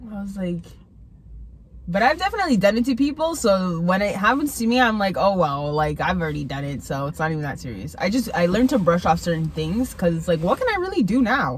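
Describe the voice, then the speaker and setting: Against noticeable background noise, a woman talks at a very fast pace in a medium pitch that swings very widely. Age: 20s. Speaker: host's best friend. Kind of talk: casual chat.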